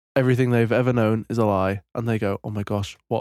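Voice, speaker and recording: A British accent carries this fairly quick delivery. The sound is dry and close, with no echo. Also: man. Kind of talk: casual chat.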